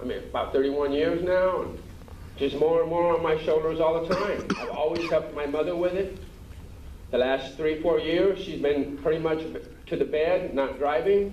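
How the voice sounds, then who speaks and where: Amid audible room echo and noticeable background noise, a man speaks at a moderate pace with fairly even intonation. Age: 60s. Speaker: restaurant owner. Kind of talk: pleading testimony at council hearing. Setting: city council chamber.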